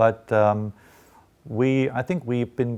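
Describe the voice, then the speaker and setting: A man speaks with a German accent. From eastern Germany, Dresden. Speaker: journalism professor. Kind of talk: interview. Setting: studio. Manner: hesitant, many fillers.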